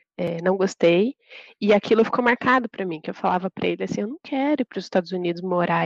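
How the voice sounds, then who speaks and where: With a plain, everyday voice, a woman talks at a fairly quick pace with ordinary pitch variation in a dry, close recording with no echo. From interior of São Paulo state, Brazil. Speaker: project manager. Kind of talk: interview.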